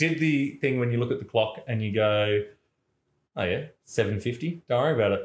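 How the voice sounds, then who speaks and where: This man has an Australian accent and a medium-pitched, somewhat breathy voice. He talks at a moderate pace with ordinary pitch variation. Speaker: podcast co-host. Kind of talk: casual chat.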